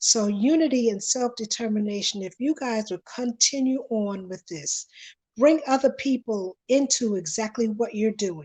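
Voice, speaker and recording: A somewhat breathy voice with lively intonation speaks against a quiet background. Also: woman, fairly high pitch for a woman, moderate pace. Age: 60s. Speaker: panelist. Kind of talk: panel discussion. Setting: livestream.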